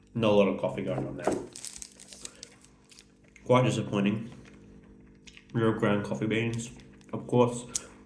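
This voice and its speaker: Against noticeable background noise, a man at medium pitch uses lively intonation and takes long, frequent pauses. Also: moderate pace. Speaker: food reviewer. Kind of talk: casual talk to camera.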